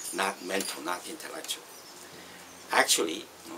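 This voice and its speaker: Over noticeable background noise, a man speaks with a Northeast Chinese accent. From Northeast China. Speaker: Dao teacher. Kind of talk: philosophical talk. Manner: hesitant, many fillers.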